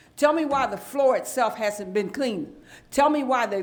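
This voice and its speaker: A woman talks at a moderate pace as noticeable background noise carries on behind her. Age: 70s. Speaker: council member. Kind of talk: public meeting debate. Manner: animated.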